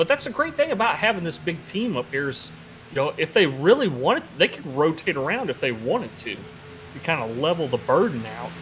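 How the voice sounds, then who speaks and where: With music in the background, a man's voice shows big swings in loudness. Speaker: sim racing commentator. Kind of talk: live commentary.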